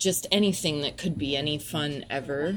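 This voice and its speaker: With ordinary pitch variation, the woman talks in an American accent. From US South, Nashville, Tennessee. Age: 30s. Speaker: poet. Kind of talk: casual chat.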